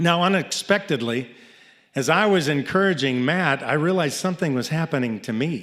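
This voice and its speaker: An unremarkable speaking voice from a man, fairly high in pitch, with lively intonation at a moderate pace in a very clean recording with a silent background. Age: 60s. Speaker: storyteller, nonprofit founder. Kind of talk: live storytelling. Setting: stage with audience.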